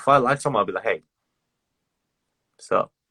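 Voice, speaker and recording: The recording is very clean, with a silent background and a dry, close sound with no echo. A man speaks in an animated tone with vocal fry. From Australia. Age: 20s. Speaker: singer streaming to fans. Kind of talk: casual live stream chat with fans. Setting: social media live stream.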